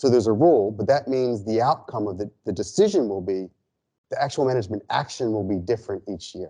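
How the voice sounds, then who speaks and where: A man with an American accent talks at a very fast pace, his tone dark and mellow. His pitch varies in an ordinary way against a quiet background. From United States. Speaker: ecologist and statistical modeler; lecturer. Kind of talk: lecture. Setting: seminar room with audience. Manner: halting, many fillers and restarts. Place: classroom.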